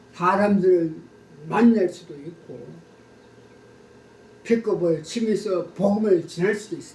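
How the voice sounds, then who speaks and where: Over noticeable background noise, a man with a high voice speaks at a very slow pace with fairly even intonation, big swings in loudness, and long, frequent pauses. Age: 80s+. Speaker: pastor. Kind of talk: testimony. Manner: formal.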